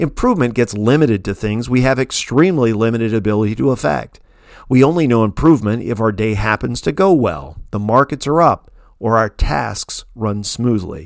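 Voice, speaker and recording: A medium-pitched man with an unremarkable speaking voice, lively intonation and a moderate pace, on a very clean recording with a silent background. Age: 50s. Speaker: essayist reading own newsletter. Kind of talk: scripted narration.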